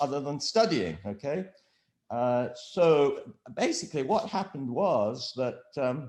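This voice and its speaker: Very wide pitch swings stand out in a very clean recording with a silent background. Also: man. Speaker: professor. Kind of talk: interview. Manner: halting, many fillers.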